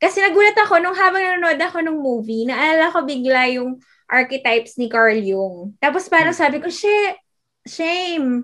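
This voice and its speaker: A woman speaks at an extremely high pitch with very wide pitch swings and a bright, sharp tone. Her pace is moderate. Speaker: podcast co-host. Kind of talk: casual chat.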